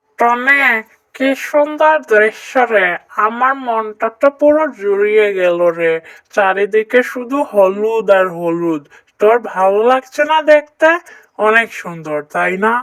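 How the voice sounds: A cartoonish character voice, female-sounding and fairly high-pitched, at a fairly slow pace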